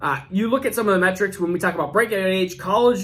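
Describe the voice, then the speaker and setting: Here a man speaks in a high pitch at a fairly quick pace. His intonation is lively. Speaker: fantasy football youtuber. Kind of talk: youtube video commentary. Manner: fast.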